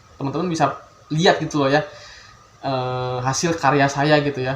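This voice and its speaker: Noticeable background noise sits behind the recording. A man speaks at a fairly quick pace with fairly even intonation. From Bandung, West Java, Indonesia. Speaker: youtuber, electrical engineering graduate. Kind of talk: casual vlog introduction. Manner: hesitant, many fillers.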